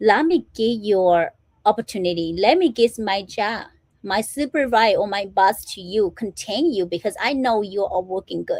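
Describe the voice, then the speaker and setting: A dry, close sound with no echo, with a non-native accent. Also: woman, medium pitch for a woman, lively intonation, moderate pace. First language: not English. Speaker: motivational speaker and small business owner. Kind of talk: motivational livestream talk. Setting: live stream. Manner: informal, repetitive fillers.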